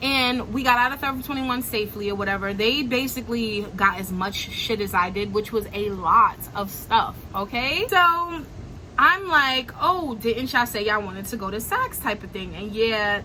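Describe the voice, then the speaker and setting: Over noticeable background noise, a woman with a Brooklyn accent talks at a fairly high pitch with lively intonation, big swings in loudness and hardly any pauses. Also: moderate pace. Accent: Brooklyn New York. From Brooklyn, New York. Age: young. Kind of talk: casual storytime talk to camera. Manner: animated, slangy, upbeat.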